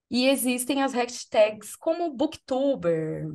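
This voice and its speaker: The background stays quiet. Over it, a woman's voice rises and falls in very wide pitch swings. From Brazil, São Paulo. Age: 40s. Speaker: podcast host and content creator; podcast host, content creator. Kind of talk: casual chat. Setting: video podcast recording. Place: home room. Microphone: video call.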